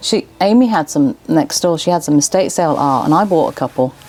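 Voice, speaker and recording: A woman with an English accent, fairly low pitch, very wide pitch swings and a fairly quick pace, over noticeable background noise. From England. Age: 40s. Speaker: small business owner. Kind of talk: casual chat.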